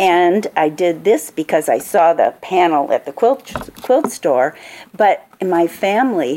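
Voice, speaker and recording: A woman speaks at a very slow pace in an Upper Midwest accent. Her fairly low voice has lively intonation. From Minnesota. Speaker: author. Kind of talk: author talk at a book fair. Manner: hesitant with fillers.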